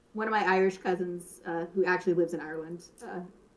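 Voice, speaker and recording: This woman speaks at a fairly quick pace. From US South. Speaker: voice actor and co-player. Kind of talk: casual chat while gaming on stream.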